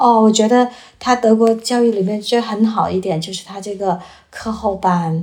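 A woman speaks at a moderate pace with a fairly high pitch and fairly even intonation. Background noise is noticeable. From China. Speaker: former journalist, student. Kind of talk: casual chat.

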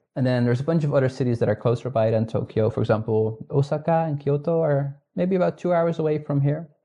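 A somewhat breathy, fairly high male voice, very fast with hardly any pauses and very even loudness. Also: ordinary pitch variation. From northern Netherlands. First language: Dutch. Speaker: astronomer. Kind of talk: casual interview chat. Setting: remote call from home.

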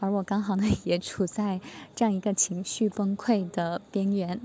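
Moderate pace from a woman of medium pitch, somewhat breathy, with a dark, mellow tone and monotone, flat intonation. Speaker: student preparing for exams. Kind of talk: testimony.

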